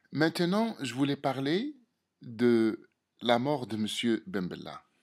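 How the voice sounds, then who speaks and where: Using very wide pitch swings, a man speaks at a very slow pace with a strong non-native accent. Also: medium pitch for a man. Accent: strong foreign accent in French. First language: Algerian Arabic (speaking French). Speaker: political commentator. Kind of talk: opinion monologue to camera. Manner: halting, many hesitations and repetitions.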